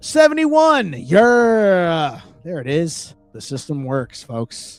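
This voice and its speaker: A man's high voice, very slow and with very wide pitch swings, over music in the background. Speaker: band member hosting a livestream. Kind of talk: casual livestream chat. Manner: hesitant, many fillers and restarts.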